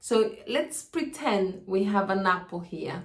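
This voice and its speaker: A woman speaks with lively intonation. Audible echo fills the room. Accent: Spanish. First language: Spanish. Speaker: health educator. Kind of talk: educational video monologue. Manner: casual, with hesitations.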